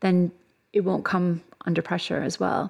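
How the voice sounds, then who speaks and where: A woman with a Canadian accent talks at a moderate pace in an unremarkable speaking voice, her pitch fairly low. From Canada. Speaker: sport psychologist and academic. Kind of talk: interview. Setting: studio.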